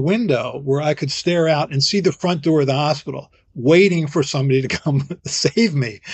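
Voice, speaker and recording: Somewhat breathy, a man's fairly high voice moves at a moderate pace with ordinary pitch variation. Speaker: physician, vaccine expert. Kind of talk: interview.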